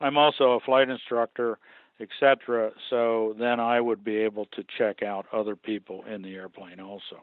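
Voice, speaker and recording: A man speaks at a moderate pace in an unremarkable speaking voice, medium in pitch, with an American accent, fairly even intonation and big swings in loudness. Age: 60s. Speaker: museum aircraft restorer and pilot. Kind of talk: interview.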